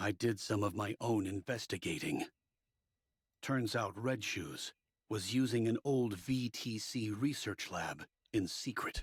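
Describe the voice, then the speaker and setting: The man puts on a character voice, pitched in the medium range. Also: fairly slow pace. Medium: video game. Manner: measured, formal.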